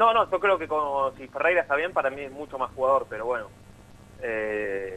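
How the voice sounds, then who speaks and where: This man talks at a moderate pace with a fairly high pitch. His pitch swings very widely, and his loudness rises and falls sharply. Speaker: football reporter. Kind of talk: sports radio discussion.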